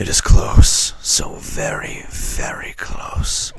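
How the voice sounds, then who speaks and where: A man puts on a raspy character voice with a menacing tone. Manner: creepy, menacing.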